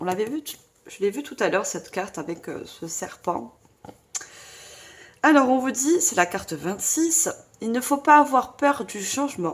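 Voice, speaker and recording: Loud and high-pitched, a woman talks at a fairly slow pace with very wide pitch swings and long, frequent pauses. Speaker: tarot reader / medium. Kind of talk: tarot reading guidance. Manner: trying to speak loudly.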